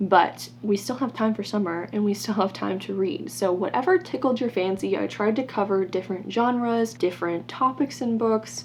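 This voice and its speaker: A woman's medium-pitched voice at a fairly quick pace, lively in intonation, with hardly any pauses and noticeable background noise. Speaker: book YouTuber. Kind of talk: casual vlog chat. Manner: fast; animated.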